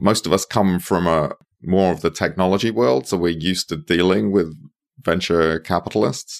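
Here a man speaks at a moderate pace with a very deep, low pitch. There is vocal fry, and his pitch moves in an ordinary way. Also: dry, close sound with no echo, very clean recording, silent background. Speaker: investor in regenerative land. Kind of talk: casual interview chat.

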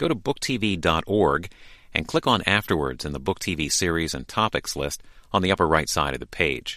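A man speaks with a very deep, low pitch and vocal fry. His intonation is lively. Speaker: program announcer. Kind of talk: announcer narration.

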